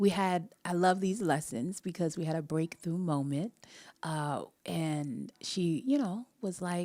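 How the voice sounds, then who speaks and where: A woman's fairly low, dark and mellow voice at a fairly slow pace, with ordinary pitch variation, in a very clean recording with a silent background. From Jamaica. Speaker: relationship coach and vocal teacher. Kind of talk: live-stream talk to viewers. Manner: casual, conversational.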